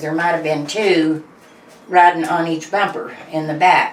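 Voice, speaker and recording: Against noticeable background noise, a woman with a fairly low pitch talks at a fairly slow pace. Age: 70s. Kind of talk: interview answer.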